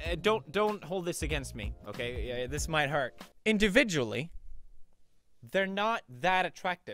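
A man speaks with music in the background. The sound is dry, with no echo. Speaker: video creator. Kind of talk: comedic reaction commentary. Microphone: studio mic.

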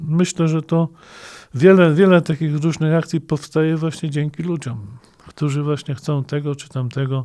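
A man talks in a fairly high pitch at a moderate pace. His tone is dark and mellow, and his intonation is fairly even. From Greater Poland, western Poland (Śmigiel, Leszno). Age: 50s. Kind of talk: interview.

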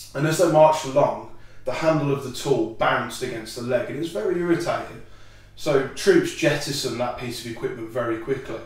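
In a room with audible echo, a man speaks at a fairly quick pace, with ordinary pitch variation and big swings in loudness. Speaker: presenter. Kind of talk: educational explanation. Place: home room. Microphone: camera far.

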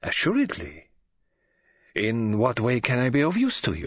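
Using a put-on character voice with a slightly husky edge, a man speaks at a fairly slow pace and a medium pitch with very wide pitch swings.

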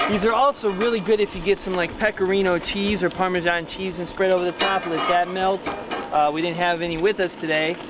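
Loud background noise fills a dry recording with no echo, while the voice moves at a fairly quick pace with fairly even intonation. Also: man, high pitch for a man. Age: 40s. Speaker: cooking show host. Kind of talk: cooking demonstration. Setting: outdoors. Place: beach.

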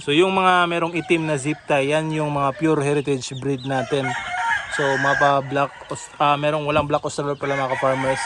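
Over noticeable background noise, a man talks at a moderate pace. His voice is fairly high-pitched, with fairly even intonation. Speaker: farmer vlogger. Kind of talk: casual vlog tour. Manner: casual, with frequent fillers.

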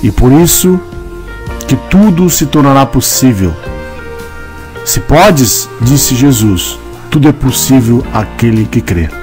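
Over music in the background, a man with a medium-pitched voice talks at a very slow pace, with long, frequent pauses and very wide pitch swings. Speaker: narrator. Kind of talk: religious devotional message with prayer.

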